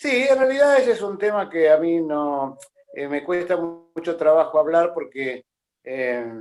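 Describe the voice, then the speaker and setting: A man's high voice at a fairly slow pace, with very wide pitch swings. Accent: Argentine. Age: 70s. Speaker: boxing journalist and author. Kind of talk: interview.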